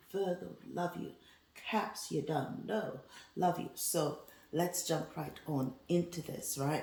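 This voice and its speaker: This woman's voice is very deep and low, moving at a very slow pace. Background noise is noticeable throughout. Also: ordinary pitch variation. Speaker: tarot reader. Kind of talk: tarot reading monologue. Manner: casual, animated.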